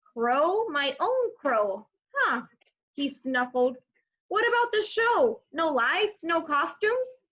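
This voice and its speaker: Using a put-on character voice, a woman speaks at a fairly slow pace with an extremely high pitch that swings very widely. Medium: read story. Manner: shy, hesitant.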